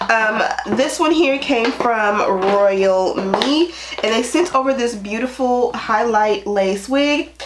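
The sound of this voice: A woman speaks at a slow pace with few pauses, her pitch fairly high. Her pitch varies in an ordinary way, and there is audible room echo.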